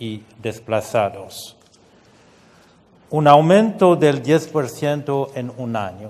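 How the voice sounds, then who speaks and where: Pitched fairly high, a man talks at a very slow pace with lively intonation. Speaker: UN refugee agency official. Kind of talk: conference speech. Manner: halting, with fillers and repetitions.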